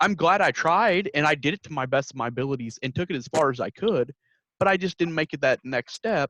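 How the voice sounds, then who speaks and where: A man with a Midwestern accent speaks at a very fast pace in a fairly high pitch, his tone bright and sharp and his intonation lively, in a dry, close recording with no echo. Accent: Midwestern twang. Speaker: podcast host, youth extension worker. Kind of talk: casual podcast interview.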